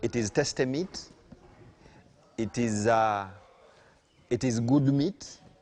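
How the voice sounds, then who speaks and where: A man with a Ugandan accent, medium pitch, and ordinary pitch variation. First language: Luganda. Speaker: farm owner and CEO. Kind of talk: farm talk to visiting farmers.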